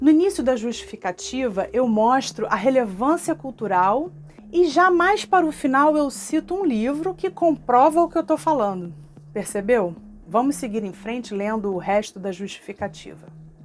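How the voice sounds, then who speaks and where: A woman speaks with a Rio de Janeiro accent at a high pitch, her pitch swinging very widely. Noticeable background noise sits behind her. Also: moderate pace. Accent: Carioca Brazilian Portuguese. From Rio de Janeiro (Tijuca, North Zone). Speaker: cultural project manager. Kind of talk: online workshop lesson to camera.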